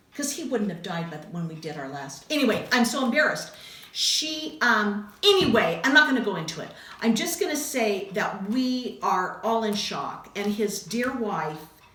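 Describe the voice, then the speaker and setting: A woman with a fairly high voice talks at a moderate pace, her pitch swinging very widely. There is noticeable background noise and audible room echo. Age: 60s. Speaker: craft video host. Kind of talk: casual chat.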